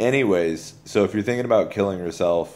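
There is light background noise behind a man speaking. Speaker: video blogger. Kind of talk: religious encouragement monologue. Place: home room. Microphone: phone near.

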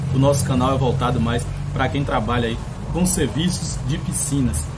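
Loud background noise fills the clip. A man speaks over it at a fairly quick pace. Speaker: pool service channel host. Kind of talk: casual vlog chat. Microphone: phone near.

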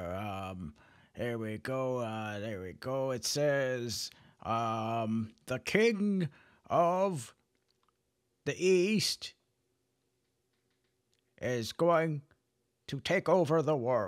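A man puts on a character voice at a medium pitch, with very wide pitch swings and long, frequent pauses. His pace is very slow, and the recording is very clean with a silent background. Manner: slow, hesitant.

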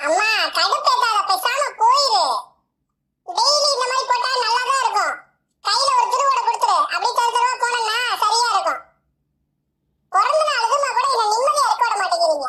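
A woman performs a cartoonish character voice at an extremely high pitch. Her intonation is lively and her pace moderate. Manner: petulant, whiny.

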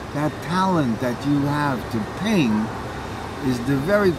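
A man speaks at a fairly slow pace. Loud background noise is heard behind him. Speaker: actor reminiscing. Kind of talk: casual conversation. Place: cafe.

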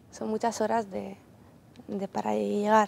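A woman talks at a moderate pace with fairly even intonation and a dark, mellow tone. The sound is dry and close, with no echo. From Ukraine. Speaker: volunteer aid worker. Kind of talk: TV interview.

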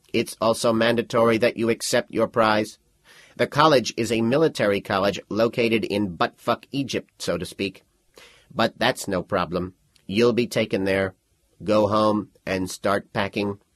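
At a moderate pace, the man adopts a put-on character voice with a fairly low pitch. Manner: smooth, salesy, cheerfully sinister.

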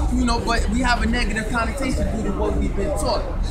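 Loud background noise around a man's voice. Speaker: street debater. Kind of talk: street debate. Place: street.

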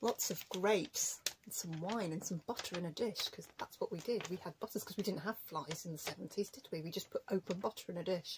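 A somewhat breathy woman's voice at medium pitch, with ordinary pitch variation and noticeable background noise. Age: 40s. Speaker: craft youtuber; craft vlogger. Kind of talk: casual vlog chat. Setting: home recording. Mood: playful, amused. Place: home room. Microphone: webcam.

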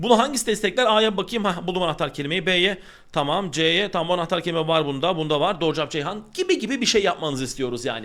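A man talks at a very fast pace in an animated tone, his high pitch swinging very widely and his tone bright and sharp. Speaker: Turkish language teacher. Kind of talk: online exam-prep lesson.

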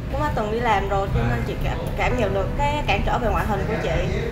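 A woman talking at a fairly quick pace over loud background noise. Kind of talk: interview answer. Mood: warm, appreciative. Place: gym. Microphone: lapel.

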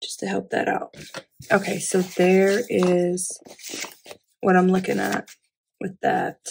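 A woman at medium pitch, slow and with little pitch movement, slightly mellow in tone with a slightly husky edge and vocal fry.

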